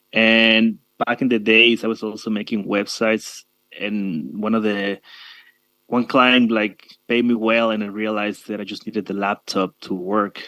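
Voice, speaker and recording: Speaking at a moderate pace with a Spanish accent, a man uses a fairly low pitch, a bright, sharp tone and monotone, flat intonation on a very clean recording with a silent background. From Mexico, Tabasco. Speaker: digital nomad, web designer. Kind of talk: panel discussion.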